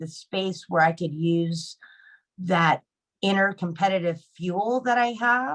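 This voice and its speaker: A woman's unremarkable speaking voice with an American accent, fairly low in pitch and fairly slow in pace, with a dry, close sound and no echo. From Arizona. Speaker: Marine Corps veteran and advocate. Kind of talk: panel discussion. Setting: video call.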